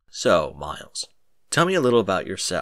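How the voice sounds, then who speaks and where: At a moderate pace, a man performs in a put-on character voice. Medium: read story. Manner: confident, mocking.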